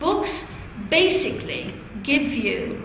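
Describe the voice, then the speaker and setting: Noticeable background noise surrounds this woman's voice. There is audible echo from the room as well. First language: Italian. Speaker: teacher trainer. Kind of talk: classroom teaching.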